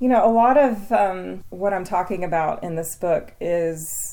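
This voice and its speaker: With an East Tennessee accent, a woman talks at a fairly slow pace in a fairly low pitch, her tone dark and mellow. Her pitch varies in an ordinary way, and audible room echo surrounds the recording. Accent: East Tennessee Southern. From East Tennessee (Athens). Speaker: author and gardener. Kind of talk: interview. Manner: casual with fillers.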